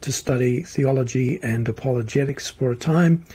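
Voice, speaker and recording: A man talks with an Australian accent in a dark, mellow tone. His voice is somewhat breathy and his pace moderate. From Australia, Melbourne. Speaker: futurist and social commentator. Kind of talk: interview conversation. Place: office.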